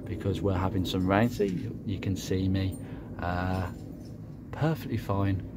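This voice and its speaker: The man has a fairly low-pitched voice. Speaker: car hobbyist YouTuber. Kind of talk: casual vlog walkaround. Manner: hesitant, many fillers.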